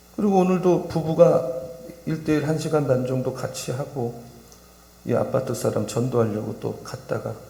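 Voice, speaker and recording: A man talks with audible room echo and noticeable background noise around him. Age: 60s. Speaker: pastor. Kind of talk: sermon. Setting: church. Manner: animated.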